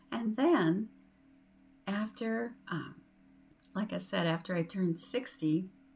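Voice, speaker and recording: A woman talks at a very slow pace with lively intonation and a fairly low pitch. There is music in the background. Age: 60s. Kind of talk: inspirational talk to camera. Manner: warm, encouraging.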